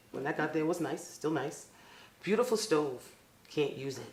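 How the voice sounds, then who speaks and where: The room echo is audible as a woman talks at a moderate pace. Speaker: public housing resident. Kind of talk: public comment at a meeting. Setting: board meeting. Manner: halting.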